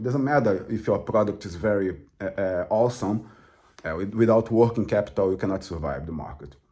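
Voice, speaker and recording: On a very clean recording with a silent background, a man with a Portuguese accent speaks at a moderate pace in a dark, mellow tone, his pitch fairly low with ordinary variation. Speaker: crypto trader and author. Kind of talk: casual explanatory talk to camera. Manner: halting, many fillers.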